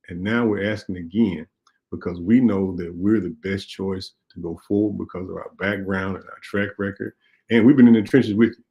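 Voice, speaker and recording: Speaking in a Mississippi accent, a man with a fairly low pitch keeps a moderate pace and fairly even intonation, with big swings in loudness. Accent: US Southern (Mississippi). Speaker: radio talk show host and state legislator. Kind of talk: call-in talk show and campaign appeal.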